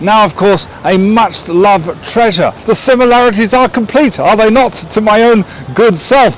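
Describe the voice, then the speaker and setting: Someone with an English accent talks at a fairly slow pace. Noticeable background noise runs underneath. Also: man. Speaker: vlogger. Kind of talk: travel vlog. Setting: outdoors. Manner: animated; lowered voice.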